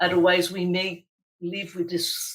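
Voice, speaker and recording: A woman with a fairly low pitch speaks at a fairly slow pace. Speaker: global health official. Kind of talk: interview. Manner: halting, many repetitions.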